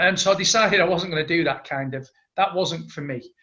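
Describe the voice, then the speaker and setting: A man in a strong Manchester accent, bright and sharp in tone, at a fairly quick pace, with ordinary pitch variation. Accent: thick Manchester. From Manchester, northern England. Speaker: entrepreneur. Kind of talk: interview.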